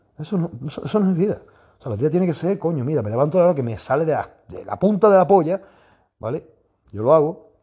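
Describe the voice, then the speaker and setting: With an animated tone and very wide pitch swings, a man with a fairly high pitch talks at a very fast pace. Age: 40s. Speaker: fitness coach and podcaster. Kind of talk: casual monologue.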